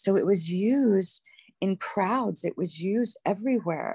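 A woman with medium pitch and ordinary pitch variation has an ordinary speaking voice, recorded with a dry, close sound and no echo. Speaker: guest giving testimony. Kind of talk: testimony.

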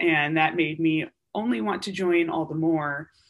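Her voice is a plain, everyday voice, pitched fairly low and carrying fairly even intonation. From US Upper Midwest (Wisconsin). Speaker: military surgeon. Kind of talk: interview.

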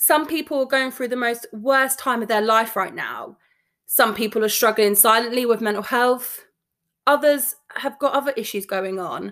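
A woman in a London accent, fairly high in pitch, with ordinary pitch variation, an animated tone and a moderate pace. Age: 30s. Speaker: podcast host, nursing student. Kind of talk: casual monologue. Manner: animated, talkative.

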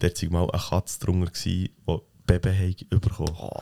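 Recorded dry and close with no echo, a man's voice has a dark, mellow tone and very deep, low pitch. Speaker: podcast co-host. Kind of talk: casual chat.

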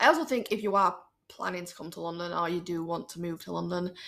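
A woman with a normal speaking voice talks at a fairly quick pace, her fairly low pitch showing ordinary pitch variation. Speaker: podcast guest. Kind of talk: casual chat.

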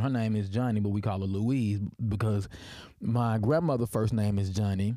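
The recording is very clean, with a silent background. A man with a Deep Southern US accent speaks in a dark, mellow tone. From US South (Tennessee). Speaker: history professor and podcast host. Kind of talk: personal storytelling monologue. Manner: halting, many fillers and restarts.

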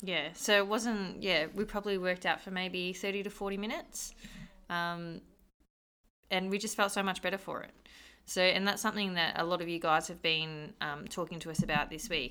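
Her voice sits at a medium pitch with a bright, sharp tone and fairly even intonation. The woman speaks at a moderate pace on a very clean recording with a silent background. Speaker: gym coach and co-host.

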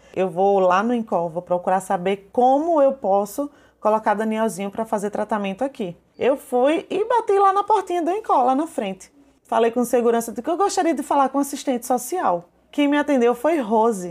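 The speaker is a woman with a high pitch. Her voice swings very widely up and down. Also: moderate pace. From Brazil, Paraíba (João Pessoa). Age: 30s. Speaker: small business owner and mother of a patient. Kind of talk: personal testimony interview.

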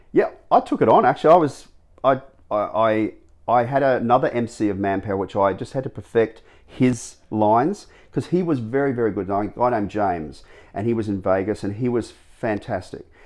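In an Australian accent, the words come out at a fairly quick clip. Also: man, medium pitch for a man, ordinary pitch variation, quiet background. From Australia, Gold Coast, Queensland. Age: 50s. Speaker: animal trainer and former dancer. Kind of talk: interview.

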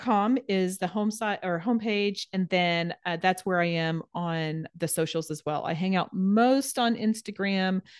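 Here is a woman with a plain, everyday voice at a medium pitch and ordinary pitch variation. The background is quiet. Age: 40s. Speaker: personal trainer and nutrition coach. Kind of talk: casual interview chat.

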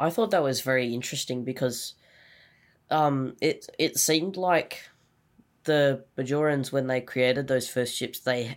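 In a normal speaking voice, a man talks at a fairly slow pace with medium pitch and fairly even intonation. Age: young. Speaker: host's son, guest. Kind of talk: casual chat.

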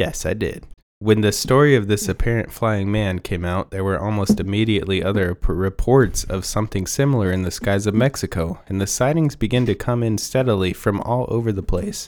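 A fairly low male voice with an American accent, ordinary pitch variation, a fairly quick pace and hardly any pauses. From Texas. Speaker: podcast co-host reading a story aloud. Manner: casual, laid-back reading with joking asides.

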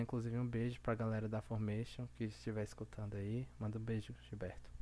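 A man at a medium pitch with fairly even intonation and a fairly quick pace. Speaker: podcast host. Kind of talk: casual chat. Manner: calmer than usual.

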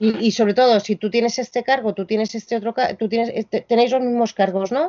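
A woman speaks with vocal fry. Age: 50s. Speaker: music venue programmer and lecturer. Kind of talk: interview. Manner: halting, with many repetitions.

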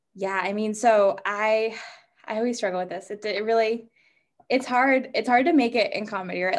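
In an American accent, a woman talks at a fairly high pitch with ordinary pitch variation in a plain, everyday voice. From New Hampshire, US. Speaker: stand-up comedian. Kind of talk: casual interview. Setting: video call.

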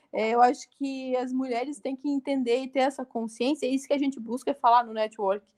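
A woman speaks at a fairly quick pace in a high voice, recorded with a dry, close sound and no echo. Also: fairly even intonation. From Santa Catarina, southern Brazil. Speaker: entrepreneur and TV show co-host. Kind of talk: casual interview chat.

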